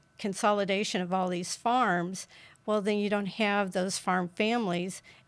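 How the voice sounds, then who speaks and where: A woman in a rural Kansas accent, her intonation monotone and flat. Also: very clean recording, silent background. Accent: Midwestern American, rural Kansas. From US Midwest, rural southeast Kansas. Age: 70s. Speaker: political candidate. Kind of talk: interview.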